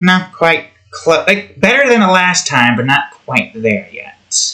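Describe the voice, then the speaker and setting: A man puts on a nasal character voice, pitched high. He speaks at a fairly slow pace. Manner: attempted feminine voice, still masculine.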